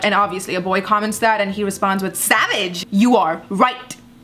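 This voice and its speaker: A woman with a medium pitch speaks in an animated tone over noticeable background noise. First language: not English. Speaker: YouTuber, commentary comedian. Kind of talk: reaction commentary.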